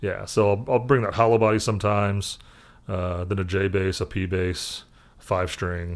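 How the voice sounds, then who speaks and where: This man has a normal speaking voice with an American accent and a fairly low pitch. He talks at a moderate pace with fairly even intonation. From Indianapolis, US Midwest. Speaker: session bass player. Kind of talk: casual chat.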